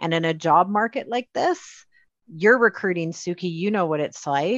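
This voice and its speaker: Against a quiet background, with a dry, close sound and no echo, a woman speaks at a moderate pace with a Canadian accent. She has an ordinary speaking voice, fairly low in pitch, with lively intonation. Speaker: podcast host and HR instructor. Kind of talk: casual interview conversation.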